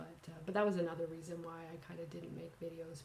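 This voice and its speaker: Speaking very fast with a Canadian accent, a woman uses a fairly low pitch while audible room echo surrounds her. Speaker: cross-stitch vlogger. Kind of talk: casual vlog talk. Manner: halting, many fillers.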